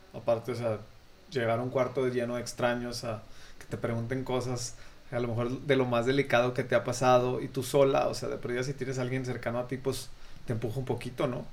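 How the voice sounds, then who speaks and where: This man's medium-pitched voice has a monotone, flat intonation and a fairly quick pace. Audible room echo is present. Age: 30s. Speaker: podcast host. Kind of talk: casual interview chat. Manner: halting, many repetitions.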